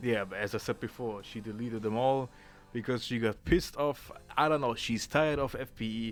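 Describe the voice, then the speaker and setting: With music in the background, a man at medium pitch talks at a moderate pace with ordinary pitch variation. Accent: strong German. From Germany. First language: German. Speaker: YouTuber. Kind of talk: casual commentary video. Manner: halting, many fillers and repeats.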